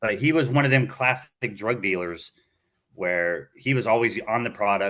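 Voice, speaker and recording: A man speaks at a medium pitch with a bright, sharp tone and an American accent. His intonation is lively. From Florida, Tampa Bay area. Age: 40s. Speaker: former drug dealer. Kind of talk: interview storytelling. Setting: podcast interview. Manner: halting.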